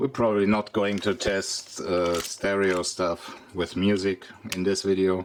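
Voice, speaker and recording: A man speaks with a very deep, low pitch and fairly even intonation. There is noticeable noise in the background. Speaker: vintage electronics youtuber. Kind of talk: tutorial.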